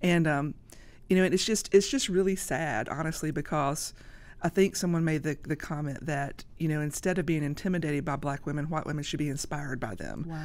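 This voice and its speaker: A woman's very deep, low pitch at a fairly quick pace. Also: ordinary pitch variation. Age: 50s. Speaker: social media influencer. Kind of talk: podcast interview. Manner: loud.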